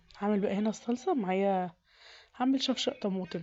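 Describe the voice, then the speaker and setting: Music plays in the background. A woman speaks at medium pitch with ordinary pitch variation. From Egypt. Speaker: home cooking youtuber. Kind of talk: cooking tutorial. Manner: casual, conversational.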